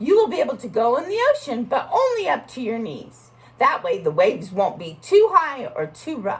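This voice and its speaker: A female-sounding, high-pitched put-on character voice. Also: moderate pace. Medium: read story. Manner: warm, patient, instructive.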